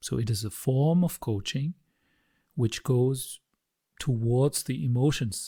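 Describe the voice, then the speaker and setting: A man with a non-native accent speaks very slowly at a medium pitch, somewhat breathy, with a dark, mellow tone and ordinary pitch variation. The recording is very clean with a silent background and a dry, close sound with no echo. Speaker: emotional coaching founder. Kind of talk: solo talk to camera. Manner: hesitant, many fillers.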